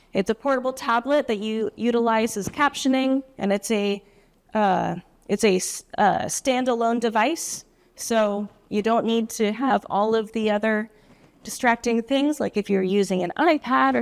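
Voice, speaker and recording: Soft-spoken words come at a moderate pace with ordinary pitch variation. The sound is dry and close with no echo, on a very clean recording with a silent background. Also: woman. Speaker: assistive technology specialist presenter. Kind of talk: presentation.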